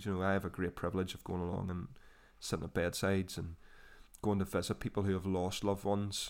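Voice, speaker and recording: A man with a Northern Irish accent, very deep and low in pitch, monotone and flat, at a fairly quick pace on a very clean recording with a silent background. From Northern Ireland, Portadown. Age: 20s. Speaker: trainee minister. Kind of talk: testimony.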